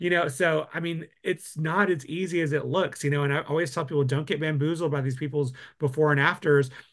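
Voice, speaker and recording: A man with a Texan accent, fairly high-pitched and fairly even in intonation, at a fairly quick pace with hardly any pauses, against a quiet background. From West Texas. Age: 40s. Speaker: permanent makeup artist and laser trainer. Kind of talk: casual chat.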